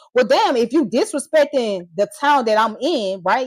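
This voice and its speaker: In an American accent, a woman speaks at a moderate pace with lively intonation and an animated tone. The sound is dry and close, with no echo. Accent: Southern US accent, commented on by critics. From Georgia, US (Atlanta). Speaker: live streamer. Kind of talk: heated live stream rant.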